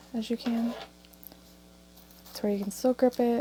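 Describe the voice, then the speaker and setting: A soft-spoken woman with a fairly high pitch and flat, monotone intonation. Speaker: crafting tutorial creator. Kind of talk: tutorial. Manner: casual.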